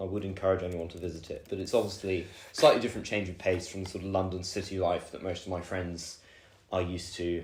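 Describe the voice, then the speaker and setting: A man with a very deep, low pitch speaks very fast in a somewhat breathy, flat, monotone voice. His loudness swings widely, and the room echo is audible. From southern England, Oxfordshire (Woodstock). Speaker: university student. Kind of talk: podcast interview. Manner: hesitant, many fillers.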